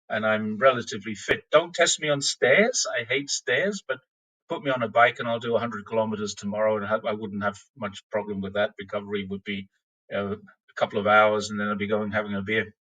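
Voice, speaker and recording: Bright and sharp in tone, a man with an Australian accent talks at a fairly quick pace in a fairly low pitch with ordinary pitch variation, the sound dry and close with no echo. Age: 60s. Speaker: cyclist and long-term expat. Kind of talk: podcast interview. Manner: halting.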